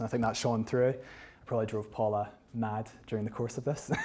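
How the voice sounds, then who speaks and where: Speaking with a West of Scotland accent, a man has a dark, mellow tone and medium pitch. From Scotland, North Ayrshire. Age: 30s. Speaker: photographer and author giving a talk. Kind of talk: public lecture with slides. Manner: hesitant, many fillers and restarts.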